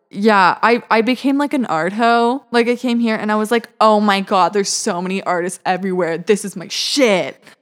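A woman with a fairly high voice talks at a moderate pace, barely pausing at all. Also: ordinary pitch variation. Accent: Western Canadian. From Vancouver, British Columbia, Canada. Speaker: university student. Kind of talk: casual interview.

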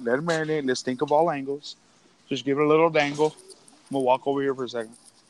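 Very fast and fairly even in intonation, a man with a fairly high pitch speaks over noticeable background noise. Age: 30s. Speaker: podcast host. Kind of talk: casual chat. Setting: phone call; walking through a store.

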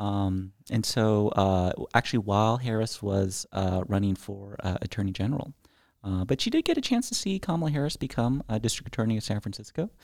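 A man's normal speaking voice with an American accent, medium pitch, lively intonation and a fairly quick pace, in a very clean recording with a silent background. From California, Bay Area. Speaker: podcast co-host. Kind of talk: casual political discussion.

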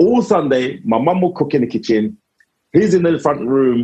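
Speaking at a fairly slow pace, a man with a medium pitch and a dark, mellow tone moves through very wide pitch swings. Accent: South London. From south London (Lewisham). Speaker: comedian. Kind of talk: casual chat.

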